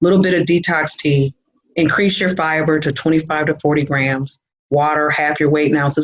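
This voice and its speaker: A woman with an American accent and a very deep, low pitch speaks at a fairly quick pace. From Michigan. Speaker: nutritionist. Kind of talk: casual interview. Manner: fast when excited.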